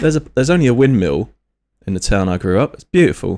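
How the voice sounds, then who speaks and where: A man talks at a very fast pace in a London accent. His pitch swings very widely. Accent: Upminster London. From Upminster, eastern outskirts of London. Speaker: streamer. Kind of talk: live stream commentary.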